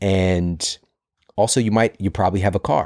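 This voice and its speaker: In a dry, close, very clean recording with no echo and a silent background, a man with an American accent speaks fairly quickly in a very deep, low pitch with ordinary pitch variation. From US Midwest, St. Louis. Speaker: health podcaster and author. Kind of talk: podcast interview. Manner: animated.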